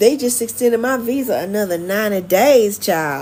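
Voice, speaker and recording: Fairly slow yet animated, a woman with a North Carolina accent speaks at a fairly high pitch with lively intonation. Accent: Southern US (North Carolina). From US South, Charlotte, North Carolina. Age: 50s. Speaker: expat vlogger and life coach. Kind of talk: casual livestream chat.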